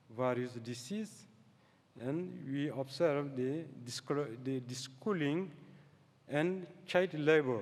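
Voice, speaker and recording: Speaking very slowly with long, frequent pauses, a man with a non-native accent and a fairly high pitch shows ordinary pitch variation amid audible room echo. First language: French. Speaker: scientist. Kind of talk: lecture. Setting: stage with audience. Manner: halting.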